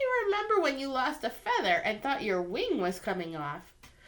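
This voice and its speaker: A woman's put-on character voice, pitched high. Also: moderate pace. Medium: read story. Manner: easygoing.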